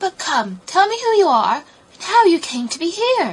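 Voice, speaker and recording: A woman puts on a character voice at an extremely high pitch. Her pitch swings very widely. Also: moderate pace. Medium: read story. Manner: kindly, coaxing.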